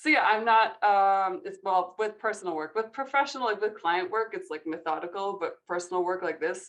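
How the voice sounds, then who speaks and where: A normal speaking voice moves at a fairly quick pace with hardly any pauses and ordinary pitch variation. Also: woman, medium pitch for a woman. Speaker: photographer and guest judge. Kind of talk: panel Q&A. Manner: casual, filler-heavy.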